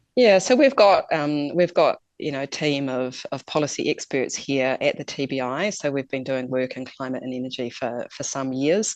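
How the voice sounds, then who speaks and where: A woman with a New Zealand accent talks at a moderate pace with hardly any pauses, her very deep, low pitch showing ordinary pitch variation. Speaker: climate policy expert. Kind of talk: interview. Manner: hesitant, many fillers.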